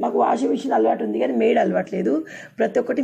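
A woman speaks with very wide pitch swings. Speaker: village life vlogger. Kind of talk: casual vlog narration. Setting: outdoors in village.

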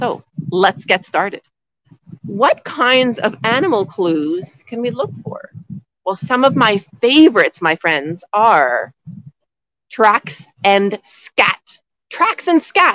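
A woman speaks at a very slow pace with long, frequent pauses, the sound dry with no echo against a quiet background. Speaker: outdoor nature educator. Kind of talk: live lesson for kindergarten children. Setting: outdoors in snow. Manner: loud, speaking up outdoors; animated, enthusiastic. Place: forest. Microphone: phone near.

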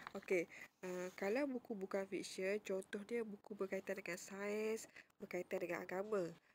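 A woman's medium-pitched voice, an ordinary speaking voice, at a moderate pace with fairly even intonation. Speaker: school librarian teacher. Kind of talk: tutorial. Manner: casual, frequent fillers like okey and uh.

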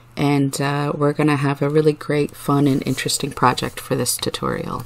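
A soft-spoken woman's very deep, low voice at a moderate pace, flat and monotone, with noticeable background noise. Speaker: mandala dot painting artist. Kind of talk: art tutorial narration. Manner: soft-spoken, soothing.

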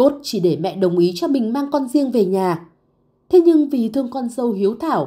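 Her voice is fairly high, with a dark, mellow, somewhat breathy tone. This woman's pitch swings very widely. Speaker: narrator. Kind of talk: scripted narration.

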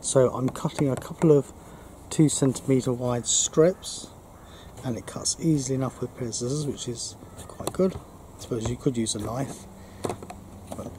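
A man's voice with ordinary pitch variation over noticeable background noise. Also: moderate pace. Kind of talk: tutorial. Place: garden. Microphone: camera far.

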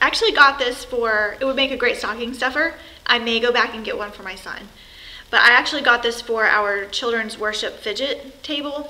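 A woman is speaking. Her voice is raised and projected. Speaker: product reviewer. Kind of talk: casual vlog chat. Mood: cheerful, festive. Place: home room. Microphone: phone near.

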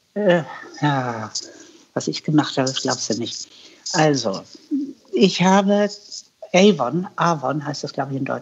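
The pace is very slow, with long, frequent pauses. The intonation is lively. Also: woman, very deep, low pitch for a woman. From northern Germany, Hannover; northern Germany. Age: 80s+. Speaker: cook and YouTuber; interview guest. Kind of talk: interview. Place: home room. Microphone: earbuds.

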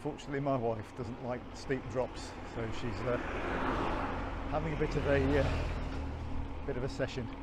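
Loud background noise surrounds a man whose dry sound has no echo and whose pitch varies in an ordinary way. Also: moderate pace. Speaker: cruise holiday vlogger. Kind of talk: casual vlog chat. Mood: cheerful, enthusiastic. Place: bicycle. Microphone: phone near.

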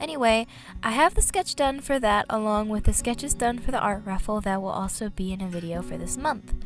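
A woman speaks with music in the background. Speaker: comic artist. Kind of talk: casual talk to camera.

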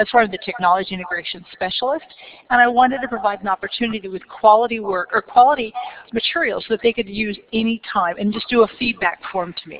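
With noticeable background noise behind her, a woman with a fairly high pitch and ordinary pitch variation talks at a very fast pace, her loudness swinging widely. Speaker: educator presenting on professional development. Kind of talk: conference presentation. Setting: stage with audience. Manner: animated.

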